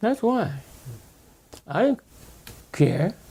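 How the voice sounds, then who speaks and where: A man speaks at a fairly slow pace. His voice is somewhat breathy, with a dark, mellow tone. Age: 80s+. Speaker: civil rights activist. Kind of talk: oral history interview. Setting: in-person recorded interview.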